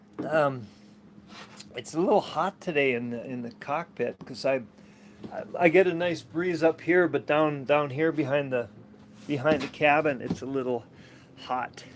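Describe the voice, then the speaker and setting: A man with an American accent at a fairly high pitch and moderate pace, with ordinary pitch variation, long, frequent pauses and noticeable background noise. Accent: American, somewhat Canadian. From Minnesota, US. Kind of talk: casual vlog monologue. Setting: outdoors on a sailboat cockpit. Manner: halting, many fillers and repetitions.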